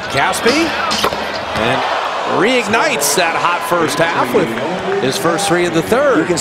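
Speech moves at a fairly slow pace with long, frequent pauses. The sound is dry with no echo, over loud background noise. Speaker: play-by-play announcer. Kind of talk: live basketball commentary. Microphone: headset.

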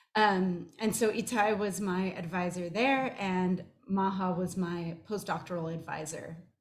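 The woman's voice is somewhat breathy. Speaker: professor giving a short talk. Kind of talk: personal talk with slides. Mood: warm, smiling, fond. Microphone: webcam.

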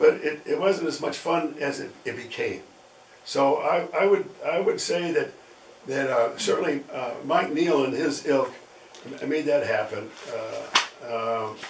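A man talks fairly slowly, with light background noise and audible echo from the room. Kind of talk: interview answer. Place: home room.

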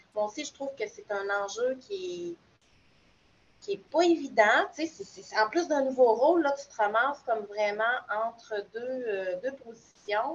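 A woman speaks fairly slowly in a plain, everyday voice, pitched fairly high with lively intonation. Her loudness swings a lot. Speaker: new pedagogical advisor. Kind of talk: online group discussion. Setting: video call.

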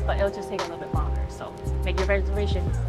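A woman speaks with loud music playing in the background. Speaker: food vlogger. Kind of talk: casual vlog chat. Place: street. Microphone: phone near.

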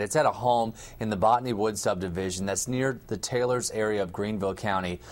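The voice belongs to a man. It sits fairly low in pitch. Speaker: news reporter. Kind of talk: live news report. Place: office.

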